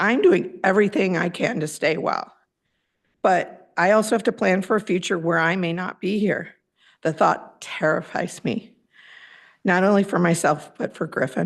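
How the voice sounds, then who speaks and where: A woman's normal speaking voice at medium pitch and a moderate pace, with ordinary pitch variation over a quiet background. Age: 60s. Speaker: parent speaking at public comment. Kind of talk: prepared public comment. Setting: public board meeting.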